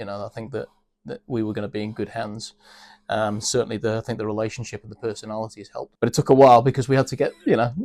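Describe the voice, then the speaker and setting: A man with a British accent speaks at a very fast pace in a medium pitch and monotone, flat intonation, on a very clean recording with a silent background and a dry, close sound with no echo. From UK. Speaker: business executive. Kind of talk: interview. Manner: hesitant, many fillers.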